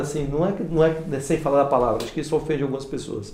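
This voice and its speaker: Words come at a very fast pace, with audible room echo. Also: man. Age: 40s. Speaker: pastor. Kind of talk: casual chat.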